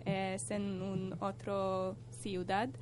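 This woman has a very deep, low voice and a Hungarian accent. Room echo is audible around her. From Hungary. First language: Hungarian (speaking Spanish). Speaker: European volunteer, radio contributor. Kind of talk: casual radio chat.

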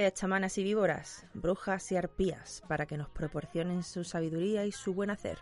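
This woman has a normal speaking voice and a medium pitch with ordinary pitch variation. She talks at a moderate pace with hardly any pauses. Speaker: podcast host. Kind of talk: casual chat.

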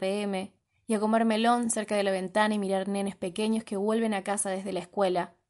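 A woman speaks at a fairly quick pace in a medium pitch. Hers is a normal speaking voice. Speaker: podcast host. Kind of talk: reading aloud.

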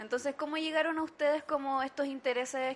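A woman with a Chilean accent at a fairly quick pace. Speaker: podcast host and teacher. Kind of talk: casual chat.

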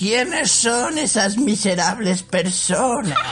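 Against clear background noise, a put-on character voice at a fairly high pitch moves at a very slow pace. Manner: menacing, gruff.

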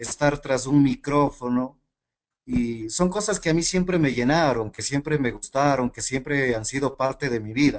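A man speaks at a moderate pace in a medium-pitched voice. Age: 30s. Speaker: network marketing team leader. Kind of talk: motivational training talk.

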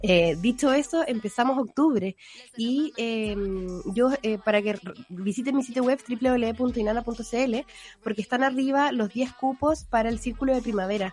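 Speaking fairly slowly, a woman uses a high pitch with ordinary variation. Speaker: radio podcast host. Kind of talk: casual chat.

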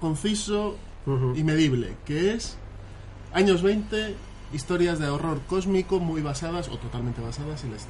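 Against noticeable background noise and audible room echo, a man talks at a fairly slow pace. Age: 30s. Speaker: gamer and podcast patron. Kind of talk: casual chat.

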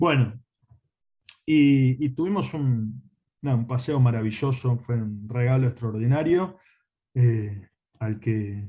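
The voice is somewhat breathy, with a dark, mellow tone and ordinary pitch variation. It moves at a very slow pace with long, frequent pauses. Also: man. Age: 40s. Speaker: philosophy teacher. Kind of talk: interview.

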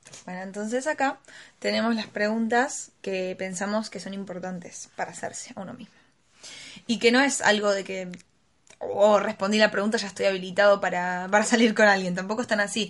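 The speaker talks in a Rioplatense accent with fairly even intonation. The loudness swings widely. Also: woman, medium pitch for a woman. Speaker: podcast co-host. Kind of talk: casual chat.

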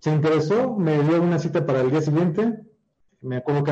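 Talking at a very fast pace, a man uses a fairly high pitch, a dark, mellow tone, a somewhat breathy quality and lively intonation. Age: 30s. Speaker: digital marketer. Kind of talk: interview. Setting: live stream.

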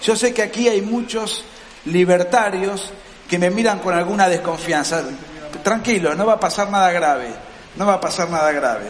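At a moderate pace, a man speaks at a high pitch with ordinary pitch variation, with audible room echo and noticeable background noise. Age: 40s. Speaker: political writer. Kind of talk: lecture. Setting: stage with audience.

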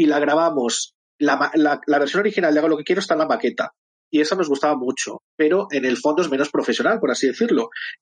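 A man talks at a very fast pace with a fairly high pitch. His loudness stays very even, and his pitch varies in an ordinary way. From Madrid, Spain. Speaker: drag performer and musician. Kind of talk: casual chat.

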